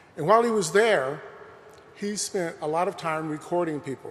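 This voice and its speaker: A man's high-pitched voice with lively intonation at a fairly quick pace, over noticeable background noise. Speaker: professor. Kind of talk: lecture. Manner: soft-spoken.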